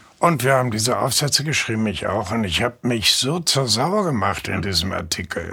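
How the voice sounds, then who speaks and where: Noticeable background noise accompanies a man speaking at a moderate pace in a medium pitch, with very wide pitch swings. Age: 80s+. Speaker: journalist and novelist. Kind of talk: interview.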